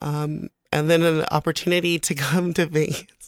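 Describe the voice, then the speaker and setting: A woman's fairly low voice with a Samoan accent, at a fairly slow pace. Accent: Samoan-accented American English. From American Samoa, raised partly in California. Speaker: guest. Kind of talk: casual chat.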